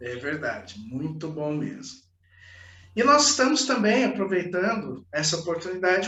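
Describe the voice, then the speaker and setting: A high-pitched man speaks at a moderate pace with very wide pitch swings. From Brazil, Marília (São Paulo state). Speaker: channel host, interviewer. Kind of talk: interview.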